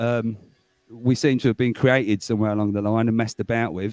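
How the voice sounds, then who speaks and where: Speaking at a fairly quick pace, a man with a medium pitch and a dark, mellow tone keeps a monotone, flat intonation, recorded dry and close with no echo. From England. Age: 40s. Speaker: guest in livestream chat. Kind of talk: casual chat. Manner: rambling, hesitant with many fillers.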